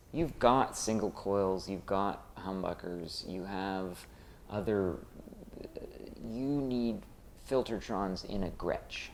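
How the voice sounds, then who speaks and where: Audible room echo surrounds a man speaking at a very slow pace with long, frequent pauses. His pitch is fairly low, with ordinary variation. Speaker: guitar shop demo presenter. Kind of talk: casual product demo chat. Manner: animated.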